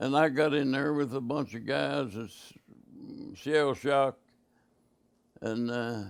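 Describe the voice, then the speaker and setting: A man with an Appalachian accent speaks at a very slow pace and medium pitch, with fairly even intonation and long, frequent pauses. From West Virginia. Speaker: war veteran. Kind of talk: interview answer. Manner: hesitant, halting.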